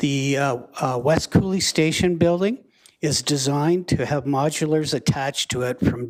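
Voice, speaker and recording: Speaking at a moderate pace in a plain, everyday voice, a man has a fairly high pitch and ordinary pitch variation. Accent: Canadian. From Canada, Lethbridge, Alberta. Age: 60s. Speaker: school division official. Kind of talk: council meeting presentation.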